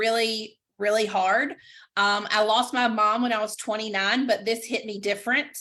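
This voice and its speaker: A woman with a Southern accent, fairly high pitch and a bright, sharp tone, at a moderate pace with fairly even intonation, on a very clean recording with a silent background. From US South, Greenville, North Carolina. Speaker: direct sales stylist. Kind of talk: casual video chat interview. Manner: halting with many fillers.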